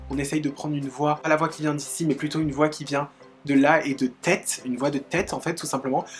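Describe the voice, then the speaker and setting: With music in the background, a woman talks at a very fast pace in a very deep, low pitch. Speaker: YouTuber. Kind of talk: casual talk to camera. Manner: upbeat, chatty.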